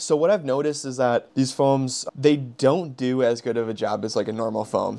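A man speaks rather quickly, his pitch rising and falling in the usual way. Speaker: car detailing creator. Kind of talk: casual product talk. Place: home room. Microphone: lapel.

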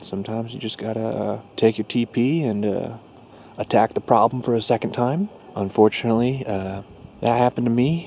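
Over light background noise, a man with a dark, mellow tone speaks at a moderate pace with ordinary pitch variation, in a dry sound with no echo. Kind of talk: casual vlog chat. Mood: jokey, relaxed. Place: forest. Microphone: phone near.

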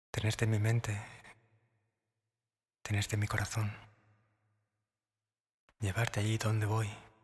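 Somewhat breathy and fairly low in pitch, a man speaks in a flat monotone at very even loudness with long, frequent pauses, in a very clean recording with a silent background. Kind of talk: romantic whispered ASMR monologue. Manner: soft, intimate, slow.

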